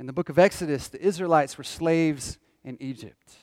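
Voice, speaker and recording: A man with an American accent and an ordinary speaking voice, fairly high in pitch, moderate in pace, with ordinary pitch variation, on a very clean recording with a silent background. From US South, Northwest Georgia. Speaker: pastor. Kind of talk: sermon.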